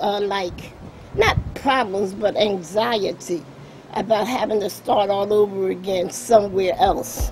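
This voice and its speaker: Over noticeable background noise, a woman talks fairly slowly at a medium pitch. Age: 60s. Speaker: longtime homeowner. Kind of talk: documentary interview, personal testimony.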